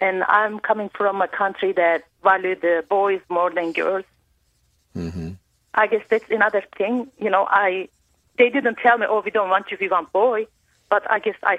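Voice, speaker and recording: With a Turkish accent, a woman talks at a medium pitch with fairly even intonation. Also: moderate pace. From Turkey. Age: 40s. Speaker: caller. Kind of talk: call-in personal story. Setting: phone call. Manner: halting.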